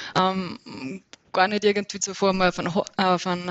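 At a moderate pace, the speaker talks in an Innsbruck accent. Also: woman. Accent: Austrian, some Innsbruck dialect. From Upper Austria. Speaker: trail runner. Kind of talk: interview.

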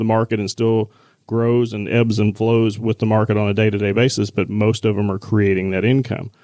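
At a fairly quick pace, a man speaks in a dark, mellow tone at medium pitch, with monotone, flat intonation. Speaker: retirement advisor. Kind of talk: casual advice discussion.

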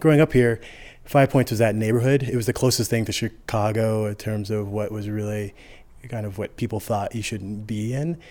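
A man's medium-pitched voice with an American accent, dark and mellow in tone, at a moderate pace with fairly even intonation on a very clean recording with a silent background. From Colorado, Denver suburbs. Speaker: bike shop owner. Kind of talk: casual interview conversation. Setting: bike shop. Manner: halting, with repeated words.

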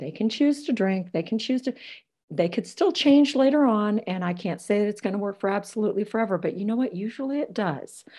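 A woman's fairly high, somewhat breathy voice with a dark, mellow tone, lively intonation and a fairly quick pace. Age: 50s. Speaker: author and dating scientist. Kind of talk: interview. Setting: video call.

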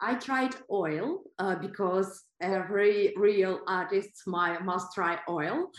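The speaker talks at a very slow pace with hardly any pauses and ordinary pitch variation. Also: woman, medium pitch for a woman. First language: not English or German. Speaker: artist. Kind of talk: interview. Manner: halting.

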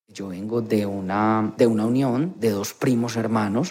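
Speaking with fairly even intonation at a moderate speed, a man uses a plain, everyday voice pitched at a medium level. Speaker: nurse. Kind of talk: interview testimony.

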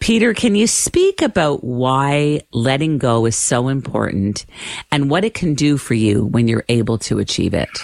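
A woman with a Canadian accent and a very deep, low pitch speaks at a moderate pace with very wide pitch swings and very even loudness, in a dry, close sound with no echo. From Canada. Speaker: radio host. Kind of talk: radio interview.

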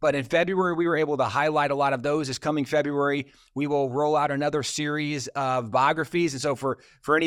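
On a very clean recording with a silent background, a man with a plain, everyday voice and fairly high pitch talks at a fairly quick pace with ordinary pitch variation. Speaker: ministry leader. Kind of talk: casual interview conversation.

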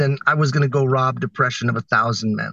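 The sound is dry and close, with no echo. The tone is bright and sharp. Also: man. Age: 50s. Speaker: social entrepreneur and record breaker. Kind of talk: interview.

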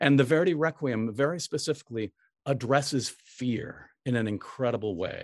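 On a very clean recording with a silent background, dry and close with no echo, a man speaks at a moderate pace and a medium pitch with ordinary pitch variation. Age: 60s. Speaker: opera conductor. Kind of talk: interview. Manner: halting.

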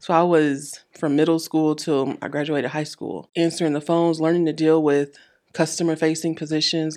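A woman's very deep, low-pitched, monotone and flat delivery at a moderate pace against a quiet background. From Michigan. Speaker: startup program manager. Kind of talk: podcast interview.

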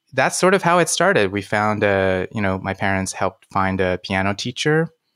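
On a very clean recording with a silent background and a dry, close sound with no echo, a man speaks at a moderate pace in a normal speaking voice. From China (Beijing), moved to US at nine. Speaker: pianist and coach. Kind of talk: interview conversation.

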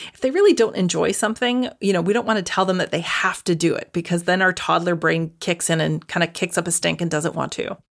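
A woman with a Canadian accent speaks at a fairly quick pace with hardly any pauses, fairly low pitch, ordinary pitch variation and vocal fry. The recording is very clean, with a silent background. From Canada. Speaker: dietitian and naturopathic doctor. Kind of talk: interview.

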